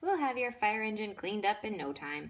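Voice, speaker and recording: Using a put-on character voice, a female-sounding speaker talks at a fairly quick pace and medium pitch. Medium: read story. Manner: upbeat, carefree.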